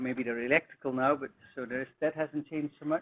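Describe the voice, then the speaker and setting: A man's voice, dry and close with no echo, against a quiet background. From Netherlands. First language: Dutch. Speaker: soil science professor. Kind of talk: lecture. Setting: webinar presentation. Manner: halting, many fillers.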